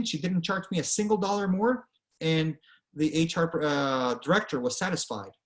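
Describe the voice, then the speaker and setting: A man's high-pitched voice carries lively intonation. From Venezuela. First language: Spanish. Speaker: author and career speaker. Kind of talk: presentation. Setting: online presentation with screen share. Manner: conversational, frequent fillers.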